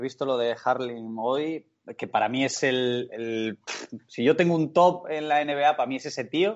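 A man with an ordinary speaking voice talks at a fairly slow pace and medium pitch, with ordinary pitch variation. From Spain, El Bierzo (León). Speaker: professional footballer. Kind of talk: casual interview chat. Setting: video call.

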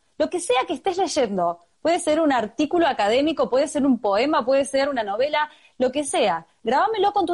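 Her pitch high and swinging very widely, a woman with an Argentine accent speaks at a fairly quick pace. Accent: Argentine Spanish (voseo). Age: 30s. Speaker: human rights activist and foundation director. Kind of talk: interview. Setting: video call.

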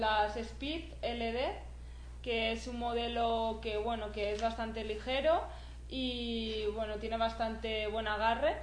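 Amid audible room echo, a woman with a Catalan accent speaks at a very slow pace in a fairly high voice with fairly even intonation. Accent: Spanish (Catalonia) Spanish. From Spain, near Barcelona. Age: 20s. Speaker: trail runner. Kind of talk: interview.

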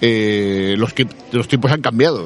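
Noticeable background noise accompanies a man with a fairly low pitch. He speaks at a moderate pace with fairly even intonation. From Andalusia, Cádiz. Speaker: actor and comic book critic. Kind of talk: interview. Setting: audiovisual festival.

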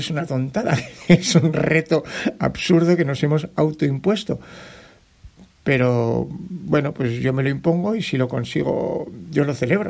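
Over noticeable background noise, a man talks at a fairly slow pace. His pitch is fairly high, with ordinary pitch variation. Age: 50s. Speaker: trail running podcaster and mountain runner. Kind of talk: solo podcast monologue, personal race report. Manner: animated; repetitive fillers and restarts.

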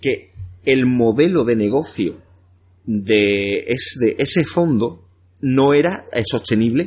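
A man's medium-pitched voice at a very slow pace, with lively intonation. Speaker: entrepreneur and coach. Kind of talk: interview. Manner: halting, repeats words.

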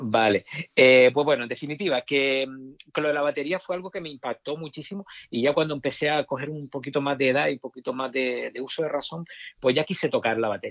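A man talking very fast with ordinary pitch variation, in a dry, close sound with no echo. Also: fairly high pitch for a man. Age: 50s. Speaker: rock guitarist. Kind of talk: casual chat. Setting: phone call. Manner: halting.

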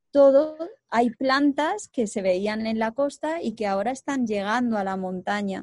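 Dry and close with no echo, a woman's unremarkable speaking voice sits fairly high in pitch with ordinary pitch variation. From Spain, Segovia. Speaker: co-founder of a reforestation project. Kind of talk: interview.

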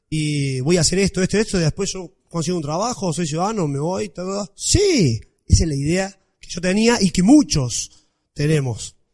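Pitched high, a man speaks in an animated tone with very wide pitch swings. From Argentina, Villa María, Córdoba. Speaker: blogger. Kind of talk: talk to an audience.

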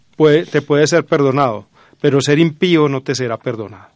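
An unremarkable speaking voice with ordinary pitch variation, dry and close with no echo, over a quiet background. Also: man. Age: 40s. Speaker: university lecturer and researcher. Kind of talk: radio interview.

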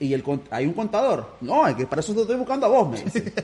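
Amid noticeable background noise, a man with a Nicaraguan accent talks very fast, his pitch swinging very widely. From Nicaragua (Managua). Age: 30s. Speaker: businessman. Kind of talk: casual chat.

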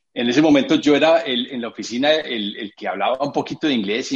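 A man with an Antioquian accent talks at a very fast pace in a fairly high pitch. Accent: Colombian paisa Spanish. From Colombia, Medellín. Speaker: architect and creative director. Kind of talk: interview. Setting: video call. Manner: halting.

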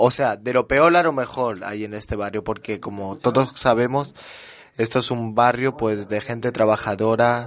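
Speaking at a moderate pace, a man uses a plain, everyday voice of medium pitch with fairly even intonation. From France. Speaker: guest. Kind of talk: casual radio chat.

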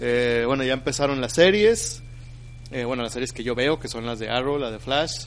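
A man speaks in a Mexican accent at medium pitch. Audible room echo can be heard. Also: ordinary pitch variation, moderate pace. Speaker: podcast host. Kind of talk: casual chat.

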